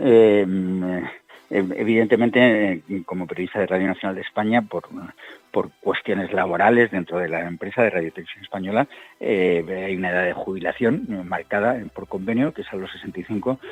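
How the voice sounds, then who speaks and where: A man talks fairly fast while noticeable background noise carries on behind him. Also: fairly low pitch for a man, ordinary pitch variation. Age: 60s. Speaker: war correspondent. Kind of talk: interview. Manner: halting.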